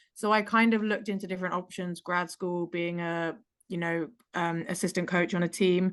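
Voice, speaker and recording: Against a quiet background, a woman with an English accent speaks at a fairly low pitch and a moderate pace with monotone, flat intonation. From England. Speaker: pickleball player. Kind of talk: casual chat.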